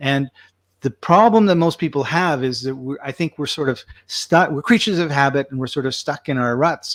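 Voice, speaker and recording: Recorded very cleanly against a silent background, with a dry, close sound and no echo, a man with an ordinary speaking voice talks at a fairly quick pace, his pitch fairly high and its variation ordinary. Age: 60s. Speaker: podcast host. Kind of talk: casual interview chat.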